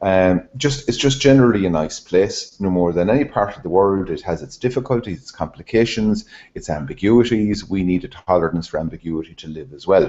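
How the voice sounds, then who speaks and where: In an Irish accent, a man talks at a fairly quick pace with hardly any pauses, fairly low pitch, lively intonation and big swings in loudness. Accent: Irish, Hiberno-English. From Ireland. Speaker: Rotary training leader. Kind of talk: talk to a club. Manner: fast, described as machine gun English.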